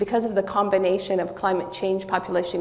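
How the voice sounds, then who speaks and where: Amid noticeable background noise and audible room echo, a woman at medium pitch speaks with monotone, flat intonation. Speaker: political science professor. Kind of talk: conference talk. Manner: loud; some hesitations.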